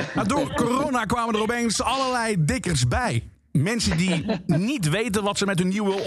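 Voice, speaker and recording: A man talks at a moderate pace with very wide pitch swings, and the room echo is audible. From Limburg, Netherlands. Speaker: radio DJ. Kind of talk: stand-up.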